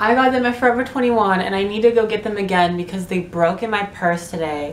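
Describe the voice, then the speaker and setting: Fairly quick speech from a woman, pitch varying normally, with audible room echo and noticeable background noise. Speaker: vlogger. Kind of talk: casual chat. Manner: animated.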